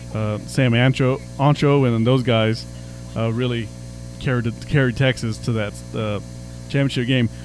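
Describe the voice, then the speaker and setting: Amid noticeable background noise, a man talks at a medium pitch with fairly even intonation. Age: 40s. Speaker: sports radio director and podcast host. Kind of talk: casual sports chat and interviews; scripted radio-style outro.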